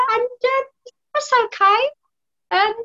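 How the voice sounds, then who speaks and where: A woman's raised, projected voice with a British accent, in a dry, close sound with no echo. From UK. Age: 50s. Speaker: guest, hobbyist artist.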